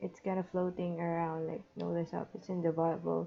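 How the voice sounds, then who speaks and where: The voice belongs to a woman. Her speech carries a non-native accent. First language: not English. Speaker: digital artist. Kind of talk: unscripted monologue over drawing timelapse. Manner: halting, with pauses.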